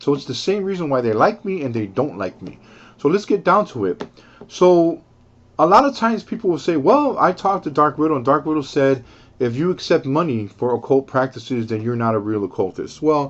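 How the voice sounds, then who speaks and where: A man with a fairly high pitch speaks at a fairly quick pace. His pitch swings very widely. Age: 50s. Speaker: occult practitioner and video commentator. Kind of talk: casual explanatory monologue. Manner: halting, frequent repetitions and fillers.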